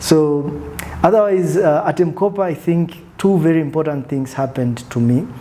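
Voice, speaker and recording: A man speaks at an even, moderate speed, his pitch rising and falling in a normal way, while clear background noise runs underneath. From Tanzania (Arusha). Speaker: business executive. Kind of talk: interview.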